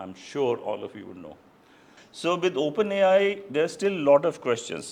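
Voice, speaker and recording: Vocal fry runs through this man's speech. He keeps a fairly quick pace. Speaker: ophthalmologist and consultant doctor. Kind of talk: lecture.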